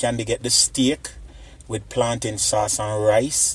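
A man at a very slow pace, in a dry sound with no echo. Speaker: family food vlogger. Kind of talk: casual vlog chat. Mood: cheerful, playful. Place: cafe. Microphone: phone near.

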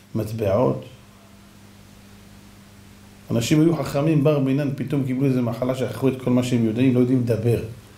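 In audible room echo, a man talks at a fairly quick pace with ordinary pitch variation. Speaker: religious teacher. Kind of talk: sermon.

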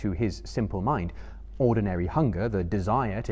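Read aloud in a natural voice, the passage moves with lively intonation.

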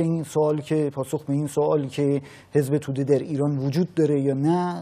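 Speaking with a monotone, flat intonation, a man keeps a moderate pace in a dark, mellow tone. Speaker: TV interviewer host. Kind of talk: interview question. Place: studio. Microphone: lapel.

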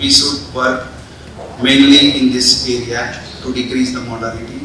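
There is audible room echo and light background noise as a man speaks. His pitch is medium and his intonation monotone and flat. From India. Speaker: doctor / conference speaker. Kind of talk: conference speech. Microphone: podium.

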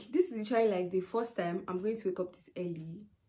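Her pitch moves up and down in an ordinary way. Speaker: vlogger. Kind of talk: casual vlog chat. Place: home room. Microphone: phone near.

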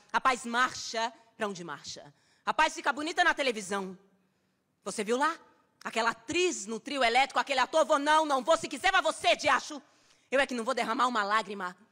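Over a quiet background, a woman uses a raised, projected, intense voice with high pitch and lively intonation, moving at a fairly quick pace broken by long, frequent pauses. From Brazil. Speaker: actress performing a poem. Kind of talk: spoken-word poem performed as an angry, defiant monologue. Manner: fierce, defiant and sarcastic, with biting, rhythmic emphasis; intense and emotional, cracking into grief near the end. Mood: defiant, sarcastic, intense. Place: stage. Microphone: studio mic.

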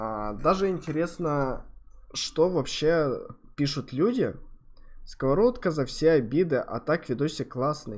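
Delivery is very slow, with lively intonation. Long pauses come often. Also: man. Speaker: streamer reacting to videos. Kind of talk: casual reaction commentary. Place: home room.

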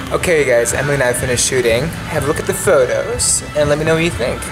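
A man's voice comes through while clear music sounds in the background. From Belgium. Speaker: actor and model. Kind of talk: casual vlog talk to camera. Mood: cheerful, upbeat. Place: studio. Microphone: phone near.

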